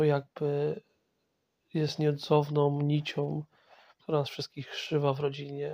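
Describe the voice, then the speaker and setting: On a very clean recording with a silent background, the delivery keeps a moderate speed. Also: man. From Poland, Masovia. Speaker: podcast host. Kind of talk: personal monologue. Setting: in bed at home. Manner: halting.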